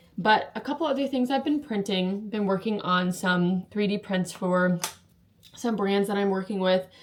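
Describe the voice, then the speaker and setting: Noticeable background noise accompanies a woman speaking at medium pitch with ordinary pitch variation. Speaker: leatherworker and maker vlogger. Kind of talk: casual show-and-tell vlog. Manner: fast; frequent um fillers.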